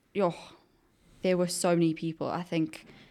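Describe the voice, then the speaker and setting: Her tone dark and mellow, a woman speaks at a moderate pace with fairly low pitch. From South Africa, Johannesburg. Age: 20s. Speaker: junior travel consultant. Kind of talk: casual chat.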